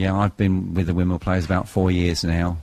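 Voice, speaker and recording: With a London accent, a man speaks in a very deep, low pitch and a monotone, flat intonation. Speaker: amateur theatre director. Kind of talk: radio interview.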